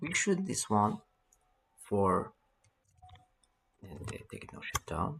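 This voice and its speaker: Speaking with a non-native accent, a man keeps his pitch fairly low. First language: not English. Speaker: networking tutorial instructor. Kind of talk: tutorial.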